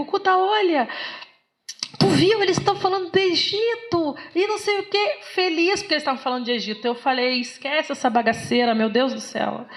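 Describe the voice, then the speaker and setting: A woman's pitch swings very widely as she talks fairly quickly, with noticeable background noise present. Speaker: philosophy lecturer. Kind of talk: lecture. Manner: animated.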